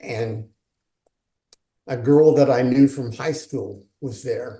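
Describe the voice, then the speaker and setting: Very slowly, a man with a medium pitch speaks in a somewhat breathy, dark, mellow tone with fairly even intonation. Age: 70s. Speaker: author and leadership coach. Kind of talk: interview.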